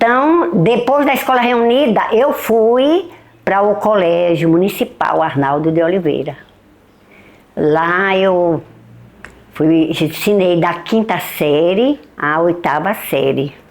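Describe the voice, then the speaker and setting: A woman's fairly low voice at a very slow pace, with very wide pitch swings. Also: very even loudness. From Bahia, Brazil (Caém district). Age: 70s. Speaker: retired schoolteacher. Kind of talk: documentary testimony.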